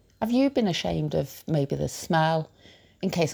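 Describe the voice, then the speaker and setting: The recording is very clean with a silent background, capturing a woman with a British accent. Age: 50s. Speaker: podcast host. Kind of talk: personal monologue. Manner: halting.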